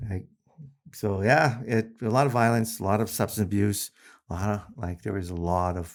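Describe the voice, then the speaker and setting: In a plain, everyday voice, a man with a fairly low pitch and ordinary pitch variation speaks at a moderate pace on a very clean recording with a silent background. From Winnipeg, Manitoba, Canada. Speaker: correctional system program facilitator, podcast guest. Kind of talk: interview answer, casual personal storytelling.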